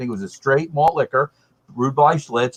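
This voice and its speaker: A man talks at a fairly quick pace in a plain, everyday voice at a medium pitch, heard in a dry, close sound with no echo. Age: 60s. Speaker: beer panelist. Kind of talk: casual chat.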